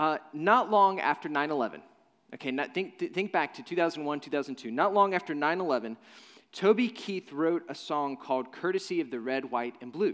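With a normal speaking voice, a man with an American accent talks at a moderate pace in a fairly high pitch with lively intonation. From Nashville, Tennessee (US South). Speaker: pastor. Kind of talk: sermon. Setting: church.

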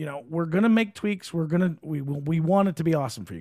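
Pitched fairly high, a man's unremarkable speaking voice shows ordinary pitch variation. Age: 40s. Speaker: fight promoter and podcast co-host. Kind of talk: casual chat. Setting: studio. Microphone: good studio mic.

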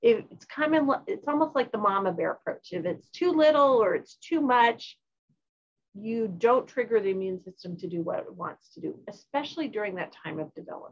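A woman with a fairly high pitch speaks at a moderate pace, her pitch swinging very widely and her loudness rising and falling in big swings. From Norway. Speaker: obstetrics professor and researcher. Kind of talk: interview. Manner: halting with repeated words.

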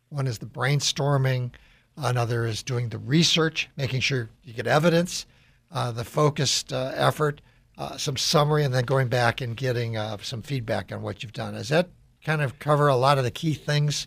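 Somewhat breathy, a man of medium pitch speaks at a moderate pace with ordinary pitch variation on a very clean recording with a silent background. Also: big swings in loudness. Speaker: radio host and business executive. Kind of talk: radio interview.

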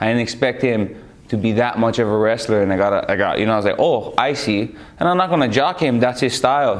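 Over noticeable background noise, a man talks at a very fast pace. His pitch is medium and his loudness very even. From Hawaii. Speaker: MMA fighter. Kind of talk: interview. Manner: energetic.

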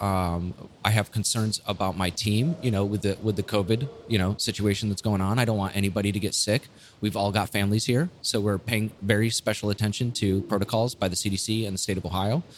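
A man's unremarkable speaking voice, fairly low in pitch, with fairly even intonation at a fairly quick pace. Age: 30s. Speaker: brewery owner and Air Force veteran. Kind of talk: casual chat. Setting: in a brewery.

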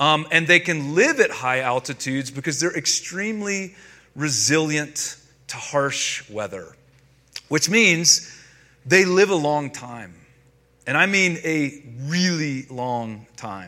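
Speaking at a very slow pace with an American accent, a man uses a fairly high, bright and sharp voice, lively intonation and big swings in loudness. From North Carolina, US South. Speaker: pastor. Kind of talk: sermon.

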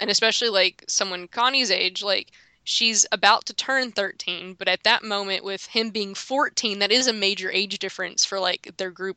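Someone speaks in an ordinary speaking voice at a moderate pace. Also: woman. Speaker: podcast co-host. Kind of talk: casual chat.

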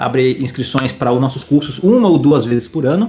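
This man has a fairly high pitch and a normal speaking voice. His intonation is lively. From Espírito Santo, Brazil. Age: 20s. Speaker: professional poker player. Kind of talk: casual interview.

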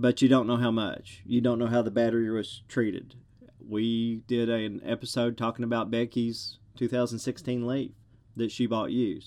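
Speaking at a moderate pace with a strong Southern US accent, a man keeps a medium pitch and a monotone, flat intonation. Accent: thick Southern US. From US South. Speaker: podcast host. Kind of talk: solo monologue podcast.

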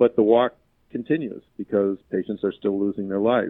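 A man with a plain, everyday voice speaks at a fairly low pitch with fairly even intonation. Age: 60s. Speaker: physician and patient safety CEO. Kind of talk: interview.

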